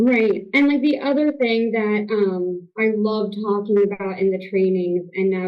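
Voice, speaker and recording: This woman has an ordinary speaking voice at a medium pitch. She talks at a moderate pace. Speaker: family therapy clinic director. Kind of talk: interview.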